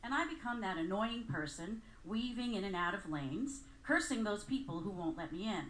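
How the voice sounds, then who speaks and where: A woman speaks at a medium pitch with very wide pitch swings. Audible room echo surrounds her voice. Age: 60s. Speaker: storyteller. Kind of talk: live storytelling. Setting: stage with audience.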